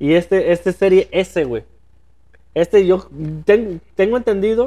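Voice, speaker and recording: Speaking at a very slow pace, a man has a high pitch and a dark, mellow tone. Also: dry, close sound with no echo. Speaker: podcast co-host. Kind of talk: casual chat.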